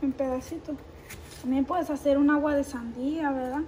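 With noticeable background noise, a woman speaks at a moderate pace in a high voice with fairly even intonation. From Sinaloa, Mexico. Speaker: vlogger. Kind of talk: casual cooking vlog talk to camera. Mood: warm, cheerful. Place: kitchen. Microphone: phone near.

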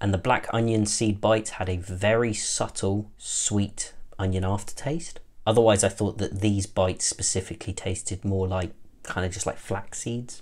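The speaker has a British accent and a somewhat breathy voice. The pace is moderate. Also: man, fairly low pitch for a man. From UK. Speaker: food product reviewer. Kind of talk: product review. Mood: friendly, relaxed. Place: home room.

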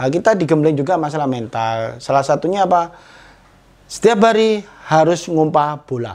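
In an ordinary speaking voice, a man talks at a moderate pace with a fairly high pitch and lively intonation. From East Java, Indonesia (Tulungagung); East Java. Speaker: former football striker; interviewee. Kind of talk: casual interview. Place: home room. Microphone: lapel.

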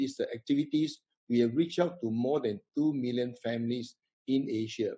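A man talks at a moderate pace with a dark, mellow tone and ordinary pitch variation. The background is quiet. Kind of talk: host welcome remarks. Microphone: video call.

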